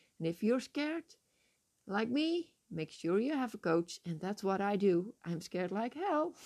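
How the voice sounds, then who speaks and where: This woman speaks at a fairly slow pace in a Dutch accent. Her medium pitch swings very widely. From Netherlands. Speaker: life coach and podcast host. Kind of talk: motivational monologue. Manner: enthusiastic, warm.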